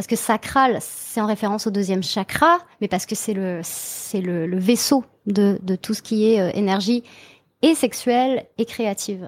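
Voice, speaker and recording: This woman has an ordinary speaking voice and a fairly high pitch with ordinary variation, moving at a moderate pace on a very clean recording with a silent background. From Brittany, France. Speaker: transformation coach, hypnotherapist. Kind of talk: casual interview chat.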